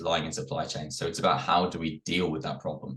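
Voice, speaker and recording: Vocal fry runs through this man's very fast delivery. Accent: British. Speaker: security executive. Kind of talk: webinar panel discussion.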